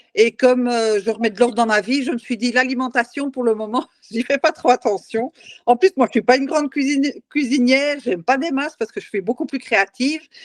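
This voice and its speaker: A fairly quick delivery with ordinary pitch variation, dry and close with no echo. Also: woman, high pitch for a woman. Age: 60s. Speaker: challenge participant. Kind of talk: testimony. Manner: halting.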